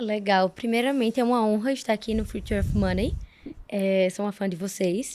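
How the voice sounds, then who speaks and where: With fairly even intonation, the speech proceeds at a moderate pace. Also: woman, medium pitch for a woman. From Brazil, Alagoas. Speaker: economist, crypto fund associate. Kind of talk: interview.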